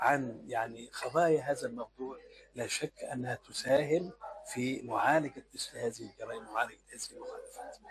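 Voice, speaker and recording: A man with big swings in loudness over noticeable background noise. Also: moderate pace. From Upper Egypt. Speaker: law professor. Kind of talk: interview. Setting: on location at a university. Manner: emphatic consonants.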